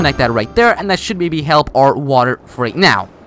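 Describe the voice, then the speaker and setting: A man with a non-native accent, very wide pitch swings and a fairly quick pace. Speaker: gaming youtuber. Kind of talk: gameplay commentary. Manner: halting; casual.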